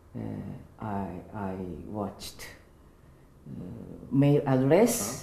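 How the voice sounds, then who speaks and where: Speaking very slowly in a very deep, low pitch, a woman uses lively intonation and long, frequent pauses, with audible room echo and noticeable background noise. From Japan, Niigata. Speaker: English seminar student, relaxation exercise teacher. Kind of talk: interview in beginner English. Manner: halting, hesitant.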